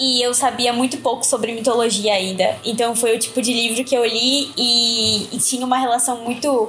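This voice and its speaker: With hardly any pauses, a woman speaks at a moderate pace in a high, monotone, flat voice of very even loudness over noticeable background noise. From Arraial do Cabo, Rio de Janeiro state, Brazil. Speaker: podcast guest. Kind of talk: casual chat.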